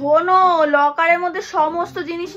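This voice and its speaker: Over music in the background, a woman shouts in a raised, projected voice at an extremely high pitch, keeping her intonation fairly even. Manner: very loud, nearly shouting.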